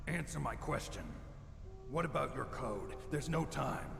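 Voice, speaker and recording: A man in a put-on character voice, moderate in pace, over loud background noise. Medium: video game. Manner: terse, clipped.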